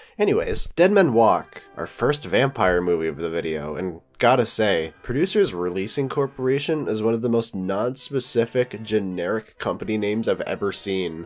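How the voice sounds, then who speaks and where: A man talks at a moderate pace with hardly any pauses. His intonation is lively, and there is noticeable background noise. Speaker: film reviewer. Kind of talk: scripted narration.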